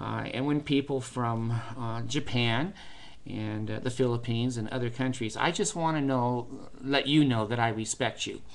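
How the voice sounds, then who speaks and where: A man with an American accent talks at a moderate pace and medium pitch, his intonation fairly even. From United States. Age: 60s. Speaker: vlogger. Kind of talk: personal vlog monologue. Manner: hesitant, many fillers.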